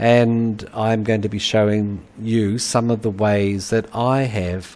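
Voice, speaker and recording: Delivery is at a very slow pace with monotone, flat intonation. The speaker has a New Zealand accent. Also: man, fairly low pitch for a man. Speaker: university lecturer, anthropologist. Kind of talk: webinar lecture. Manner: halting, many fillers.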